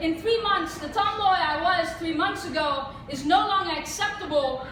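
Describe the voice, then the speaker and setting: Audible room echo surrounds the voice. The pace is moderate and the pitch variation ordinary. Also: woman, extremely high pitch for a woman. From India. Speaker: spoken word poet. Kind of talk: poetry performance. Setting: stage with audience.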